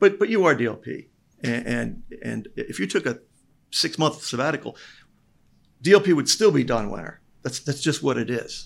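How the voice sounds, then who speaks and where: The speaker keeps a moderate pace, with long, frequent pauses. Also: man. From Lehigh Valley, Pennsylvania. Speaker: investor. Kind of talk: casual chat.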